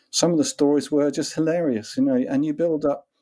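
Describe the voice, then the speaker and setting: A man speaks with lively intonation and a dark, mellow tone on a very clean recording with a silent background. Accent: English. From England. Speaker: author and consultant. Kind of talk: interview.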